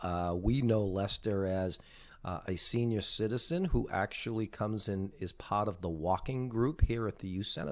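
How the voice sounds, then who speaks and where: A man with a plain, everyday voice speaks at a moderate pace, his pitch fairly low and his pitch variation ordinary. The recording is very clean, with a silent background. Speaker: podcast host. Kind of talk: podcast interview questions.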